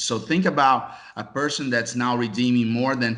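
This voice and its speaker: A man with a Brazilian accent speaks at a fairly quick pace and medium pitch. There is audible room echo. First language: Portuguese. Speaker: casino software executive. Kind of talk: interview.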